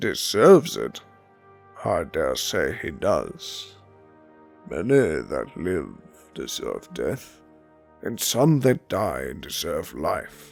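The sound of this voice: A man speaks in a put-on character voice at a very slow pace, with long, frequent pauses. Faint music plays in the background.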